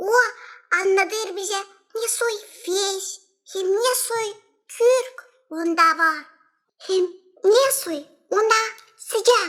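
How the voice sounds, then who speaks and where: A squeaky, cartoonish character voice pitched extremely high. It moves at a very slow pace, with long pauses coming often. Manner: fretful, singsong.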